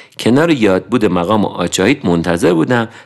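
A man with vocal fry speaks at a moderate pace. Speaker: podcast narrator. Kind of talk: scripted narration.

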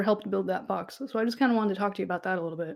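A woman with a fairly high pitch. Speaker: podcast host, dungeon master. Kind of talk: casual chat. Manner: a little podcast shy.

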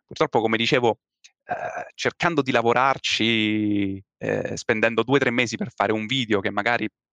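A man talks at a moderate pace against a quiet background. The sound is dry and close, with no echo. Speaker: youtuber and storytelling content creator. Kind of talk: casual podcast interview. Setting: video call. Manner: calm.

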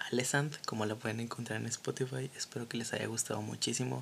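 Through noticeable background noise, a man at a medium pitch talks fairly quickly in a monotone, flat intonation. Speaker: podcast host and design student. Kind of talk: casual chat.

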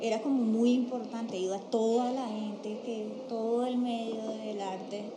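Noticeable background noise and audible room echo surround a woman speaking fairly slowly. Her voice sits fairly high, with fairly even intonation. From Colombia, Cartagena (Caribbean coast). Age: 40s. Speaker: visual artist. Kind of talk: interview. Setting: studio table, documentation center.

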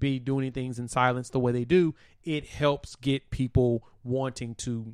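A man with an ordinary speaking voice at a medium pitch talks at a fairly slow pace with fairly even intonation, in a dry, close sound with no echo. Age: 30s. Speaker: sports podcast host. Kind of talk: solo sports talk show. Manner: casual, conversational.

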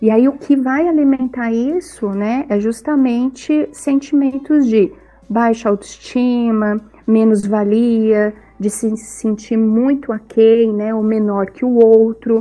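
Very slow speech from a woman with fairly high pitch and ordinary pitch variation, over noticeable background noise. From southern Brazil, Itajaí, Santa Catarina. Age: 40s. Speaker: psychologist. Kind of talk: casual chat.

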